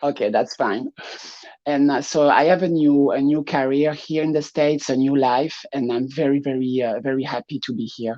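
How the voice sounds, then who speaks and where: A French accent shapes the speech. It moves at a moderate speed. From France. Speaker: drag performer. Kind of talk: interview. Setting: live online show.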